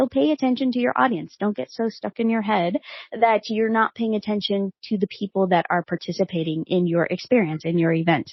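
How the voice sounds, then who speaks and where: The speech is somewhat breathy and fairly quick, with lively intonation and hardly any pauses. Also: woman, medium pitch for a woman. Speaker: podcast host. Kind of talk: solo podcast talk. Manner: fast; energetic.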